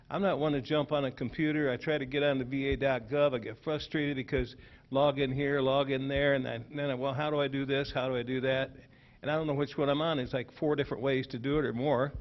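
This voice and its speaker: Talking at a very fast pace, a man keeps a monotone, flat intonation at a fairly high pitch. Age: 70s. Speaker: audience member, veteran. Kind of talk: public meeting comment. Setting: township hall meeting.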